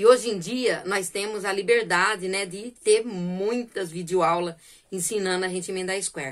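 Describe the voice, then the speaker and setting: A woman speaks fairly slowly with a quiet background behind her. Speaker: crochet channel host. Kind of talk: casual vlog chat. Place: home room. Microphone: phone near.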